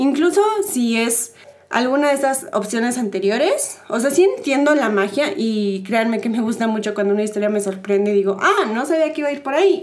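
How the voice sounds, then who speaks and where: A woman's high-pitched voice, moving at a moderate pace, is accompanied by audible room echo. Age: 20s. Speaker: podcast host. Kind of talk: casual chat.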